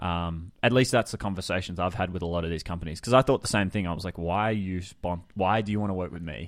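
Speaking at a very fast pace with hardly any pauses, a man with an Australian accent has a very deep, low pitch and ordinary pitch variation, against a quiet background. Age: 20s. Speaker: creative business coach. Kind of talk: casual interview chat.

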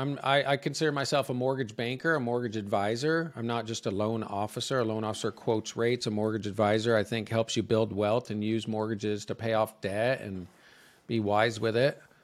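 A man's voice at a medium pitch, moderate pace, and ordinary pitch variation. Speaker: mortgage advisor. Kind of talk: interview. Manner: animated.

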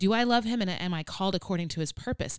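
A woman with a plain, everyday voice speaks at a fairly quick pace in a medium pitch with lively intonation, in a very clean recording with a silent background. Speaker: podcast co-host. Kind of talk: casual chat podcast with faith talk. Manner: playful, humorous.

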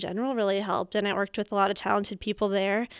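Dry and close with no echo, the recording captures a woman at a medium pitch with fairly even intonation, an unremarkable speaking voice. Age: 20s. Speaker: public radio producer and reporter. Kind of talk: casual chat. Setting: studio.

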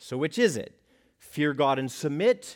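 In a normal speaking voice with an American accent, a man talks at a fairly slow pace with lively intonation on a very clean recording with a silent background. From United States. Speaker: pastor. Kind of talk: sermon.

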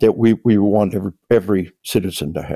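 The speaker has an American accent and keeps a moderate pace. The sound is dry and close with no echo. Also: man. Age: 60s. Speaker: retired army officer and author. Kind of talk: interview. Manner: halting, repeats words; animated.

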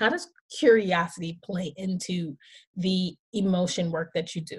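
A somewhat breathy woman at a fairly slow pace. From Haitian family. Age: 40s. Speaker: podcast host. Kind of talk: casual interview chat; scripted monologue.

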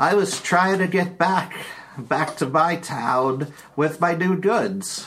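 A man's put-on character voice, high and very slow. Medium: actual play. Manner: chatty, bumbling.

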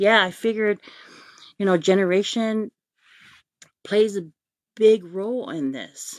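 A woman speaks at a fairly slow pace with ordinary pitch variation, big swings in loudness and long, frequent pauses, on a very clean recording with a silent background. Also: medium pitch for a woman. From American Samoa. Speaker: live-stream host. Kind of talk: casual live-stream talk. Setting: Facebook live stream.

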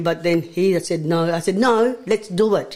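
Fairly low in pitch, a woman talks with ordinary pitch variation. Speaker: pigeon racer, studio guest. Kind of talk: relaxed interview chat in a radio studio. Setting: studio. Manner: friendly, casual, slightly hesitant with fillers.

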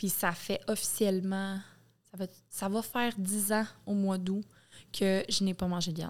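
A woman with a Quebec accent speaks fairly slowly at a medium pitch. Her delivery is monotone and flat, with long, frequent pauses. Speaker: podcast guest. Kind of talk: casual chat.

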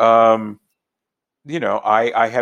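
Against a quiet background, a man speaks in a normal speaking voice at medium pitch and a fairly slow pace with an American accent. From US West Coast, inner-city Los Angeles. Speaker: linguistics professor. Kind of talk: interview.

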